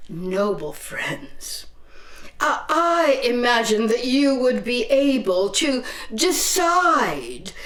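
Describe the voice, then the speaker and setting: A woman puts on a character voice, talking at a very slow pace and a high pitch. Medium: stage play. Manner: hesitant, stammering politeness.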